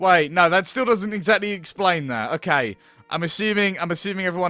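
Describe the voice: The delivery is plain reading aloud. Its intonation remains fairly even.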